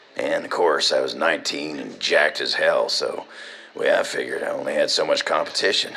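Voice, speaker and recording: A man uses a put-on character voice, raspy and extremely high in pitch. He delivers it at a fairly quick pace. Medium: audio drama. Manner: casual, laughing, folksy.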